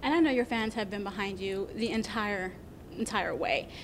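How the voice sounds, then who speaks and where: This woman has an unremarkable speaking voice. Her pitch sits fairly high, with ordinary variation. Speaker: TV news reporter. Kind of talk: interview questions.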